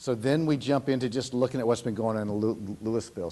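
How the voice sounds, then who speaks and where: Fairly even intonation marks this voice, which carries a dark, mellow tone. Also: man. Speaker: enrollment demographer presenting to school board. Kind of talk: presentation to school board. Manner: fast; frequent stammers and repetitions.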